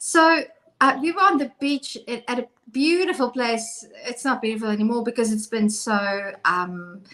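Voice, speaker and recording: Someone with a South African accent speaks in a bright, sharp tone with lively intonation. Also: woman, high pitch for a woman, moderate pace. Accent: Afrikaans South African English. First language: Afrikaans. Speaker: co-host. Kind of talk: casual chat.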